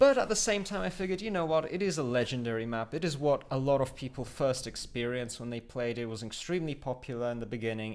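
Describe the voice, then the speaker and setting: A man speaks with a Polish accent. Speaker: gaming YouTuber. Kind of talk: live gameplay commentary. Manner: hesitant, many fillers.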